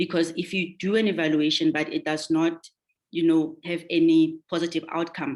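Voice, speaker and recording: Her voice sits fairly low for a woman. The woman's intonation stays monotone and flat. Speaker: governance panelist. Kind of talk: webinar presentation. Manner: fast.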